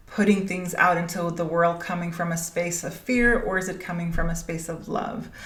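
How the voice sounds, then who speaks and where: Audible room echo surrounds a woman's voice. Her pitch is fairly low and her intonation is flat and monotone. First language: Danish. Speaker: spiritual business coach, podcast host. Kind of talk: podcast monologue. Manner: halting, many fillers.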